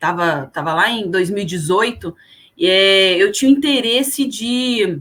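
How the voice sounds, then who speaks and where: A woman with a Brasília accent talks at a fairly slow pace with lively intonation. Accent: Brasília (candango). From Brasília, Brazil. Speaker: HR consultant and career coach. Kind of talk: podcast interview.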